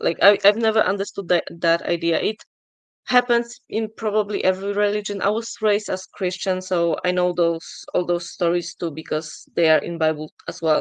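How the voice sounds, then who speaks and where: In a non-native accent, a woman talks at a moderate pace with a medium pitch and fairly even intonation. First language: not English. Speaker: atheist questioner. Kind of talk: debate. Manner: halting.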